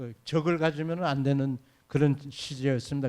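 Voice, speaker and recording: The recording is very clean, with a silent background, as a man speaks at a moderate pace. His pitch is fairly high, his tone dark and mellow, his intonation fairly even. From Manchuria (born in Uiju, North Pyongan). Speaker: retired research institute director. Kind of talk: forum interview. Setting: stage with audience. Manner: calm; halting.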